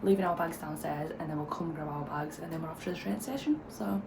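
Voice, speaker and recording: With a British accent, a woman is heard amid noticeable background noise and audible room echo. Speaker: travel vlogger. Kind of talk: casual vlog chat. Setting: hostel room.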